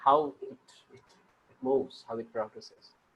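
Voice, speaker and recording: Here a man speaks with a Bengali accent at a moderate pace. His pitch is fairly high for a man. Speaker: writing group member. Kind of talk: book discussion. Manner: halting.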